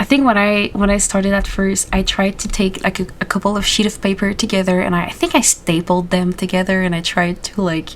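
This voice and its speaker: A woman with a Quebec accent at medium pitch, fairly quick and with hardly any pauses, over noticeable background noise. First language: French. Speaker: animation youtuber. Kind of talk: casual interview chat. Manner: animated.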